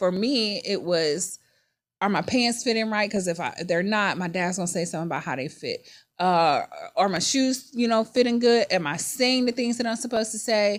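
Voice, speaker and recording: A woman's animated voice with a Virginia accent, medium pitch, lively intonation and moderate pace, on a very clean recording with a silent background. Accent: country Virginia. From Virginia, US. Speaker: podcast host. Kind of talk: casual personal monologue. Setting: studio.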